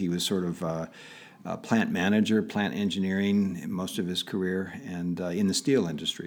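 Speaking at a moderate pace with an American accent, a man has a plain, everyday voice, fairly low in pitch with ordinary pitch variation. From Pittsburgh area, Pennsylvania. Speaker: tech entrepreneur. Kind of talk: interview.

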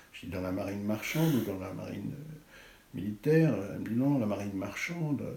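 A man talking at a fairly quick clip with ordinary pitch variation, audible room echo and noticeable background noise. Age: 60s. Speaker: art critic and writer. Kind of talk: interview. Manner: halting.

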